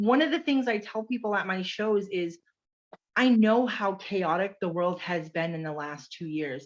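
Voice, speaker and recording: Loud and animated, a woman of medium pitch speaks at a moderate pace with very wide pitch swings over a quiet background. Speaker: direct sales consultant. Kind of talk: casual chat.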